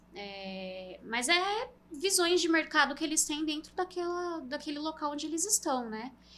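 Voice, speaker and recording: The woman's voice has a bright, sharp tone. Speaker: CNC industry sales and training specialist. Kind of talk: podcast interview.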